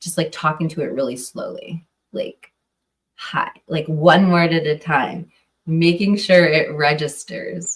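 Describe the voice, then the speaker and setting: Somewhat breathy and fairly low in pitch, a woman with an American accent speaks at a fairly slow pace with fairly even intonation. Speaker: true crime podcaster. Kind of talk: casual live stream chat. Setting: live stream. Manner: mumbling; hesitant, filler-heavy.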